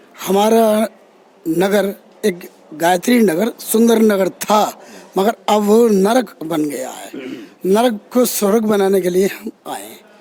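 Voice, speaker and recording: A man speaks at a high pitch, with big swings in loudness. Noticeable background noise runs underneath. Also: ordinary pitch variation. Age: 60s. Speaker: local election candidate. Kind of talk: interview.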